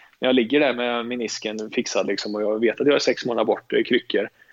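Vocal fry runs through speech delivered at a very fast pace. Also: man. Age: 30s. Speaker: professional footballer. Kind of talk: casual interview. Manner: halting, many repetitions.

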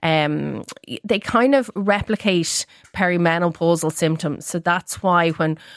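In an Irish accent, a woman speaks on a very clean recording with a silent background and a dry, close sound with no echo. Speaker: registered dietitian. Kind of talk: expert interview on radio. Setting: radio studio.

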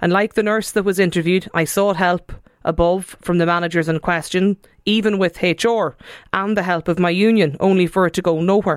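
A woman with a fairly low pitch speaks at a moderate pace with few pauses and fairly even intonation.

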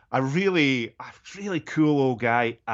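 A man in a Scottish accent with ordinary pitch variation. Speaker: golf journalist and former musician. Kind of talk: casual chat.

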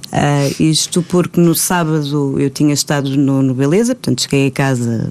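A woman speaks at a moderate pace in a very deep, low pitch with ordinary pitch variation. Background noise is noticeable. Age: 30s. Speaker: actress. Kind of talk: casual chat.

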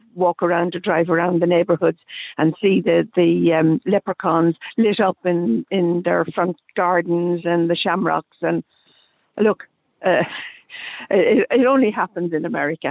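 With a fairly low pitch and ordinary pitch variation, a woman talks at a moderate pace. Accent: Irish. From Ireland. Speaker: radio caller. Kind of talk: radio phone-in. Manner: animated.

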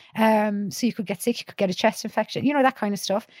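Speech with a Cork accent is captured in a very clean recording with a silent background and a dry, close sound with no echo. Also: woman. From Ireland, County Clare. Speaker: psychologist and university lecturer. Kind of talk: casual chat. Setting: studio.

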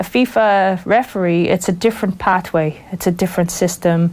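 In a Wexford Irish accent, a woman speaks at a medium pitch with fairly even intonation. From Ireland, rural County Wexford. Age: 40s. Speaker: football referee. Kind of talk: interview. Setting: studio.

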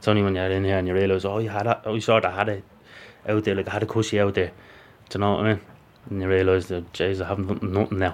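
With a Dublin accent, a man talks very fast at a fairly low pitch in a monotone, flat intonation. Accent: Dublin Irish. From Ireland, Dublin. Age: 20s. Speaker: prisoner. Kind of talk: interview.

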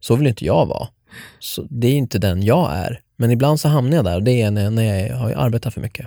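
In a dry, close sound with no echo and a very clean, silent background, a man with a medium pitch and a dark, mellow tone speaks at a fairly quick pace with lively intonation. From Sweden, Norrtälje. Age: 30s. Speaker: podcast host. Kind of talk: casual chat.

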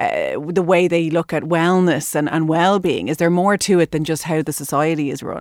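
A woman with an Irish accent talks with hardly any pauses and fairly even intonation. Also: fairly low pitch for a woman, moderate pace. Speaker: radio health show host. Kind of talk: radio interview. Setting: studio.

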